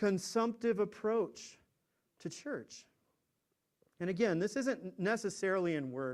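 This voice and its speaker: The intonation here is lively at a fairly slow pace. Long pauses come often. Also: man, high pitch for a man. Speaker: pastor. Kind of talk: sermon. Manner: halting.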